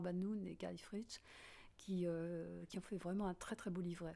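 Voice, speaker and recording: On a very clean recording with a silent background, a woman with a dark, mellow tone speaks very slowly in a medium pitch with fairly even intonation. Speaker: composer. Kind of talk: interview. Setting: at home. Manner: halting.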